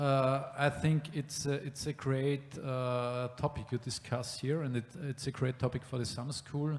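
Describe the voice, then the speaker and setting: A fairly high-pitched man with a German accent, monotone, flat intonation, a fairly slow pace and hardly any pauses, amid noticeable background noise. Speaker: city planning official. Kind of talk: panel discussion. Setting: exhibition room with live audience. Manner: halting.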